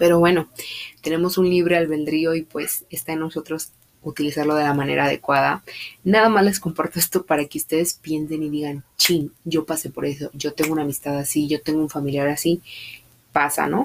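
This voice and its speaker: Very deep, low pitch from a woman, fairly even intonation, and a fairly quick pace. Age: 20s. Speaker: podcast host. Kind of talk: casual monologue.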